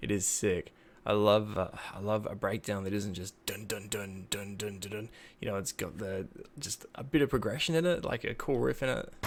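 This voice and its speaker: Soft-spoken and fairly low-pitched, a man talks at a moderate pace with lively intonation. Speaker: music reaction youtuber. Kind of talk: casual reaction commentary. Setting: at home, child asleep next room. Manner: soft-spoken, talking quietly.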